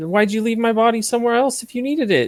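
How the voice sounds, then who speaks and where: The speaker uses a put-on character voice with a fairly high pitch. The pace is very fast. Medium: actual play. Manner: casual, joking.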